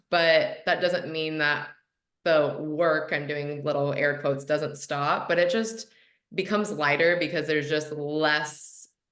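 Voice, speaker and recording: A woman speaks very slowly in a very deep, low voice with fairly even intonation. Audible room echo surrounds her. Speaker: hypnotherapist and manifestation coach. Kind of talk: podcast interview. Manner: casual, chatty.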